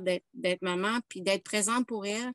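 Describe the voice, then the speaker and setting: A woman of medium pitch speaks with ordinary pitch variation against a quiet background, in a dry, close sound with no echo. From Quebec. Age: 50s. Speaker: workshop participant. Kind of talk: casual chat. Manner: halting.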